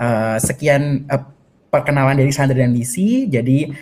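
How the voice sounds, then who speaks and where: The speaker has an Indonesian accent and talks at a moderate pace. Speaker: moderator. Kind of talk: interview. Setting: video call. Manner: halting, many fillers.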